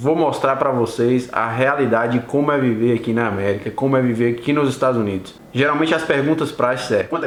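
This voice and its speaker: A man's animated, medium-pitched voice with ordinary pitch variation over noticeable background noise. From Brazil, Bahia (Vitória da Conquista). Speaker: YouTuber, Brazilian immigrant. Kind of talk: casual vlog storytelling. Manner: casual, animated.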